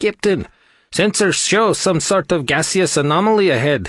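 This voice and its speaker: A put-on character voice at a moderate pace. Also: man, high pitch for a man. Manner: mock-serious.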